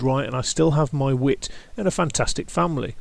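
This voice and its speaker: This speaker has a British accent and a moderate pace. The pitch varies in an ordinary way. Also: man. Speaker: YouTube creator, brain tumour survivor. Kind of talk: personal testimony. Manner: halting, occasionally stumbling over words; measured, scripted delivery.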